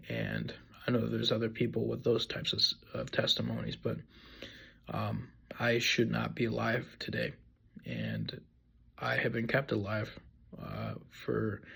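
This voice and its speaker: The speech comes at a fairly slow pace, broken by long, frequent pauses. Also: man. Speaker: person sharing faith testimony. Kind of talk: testimony. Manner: monotone; halting, many fillers and repeats.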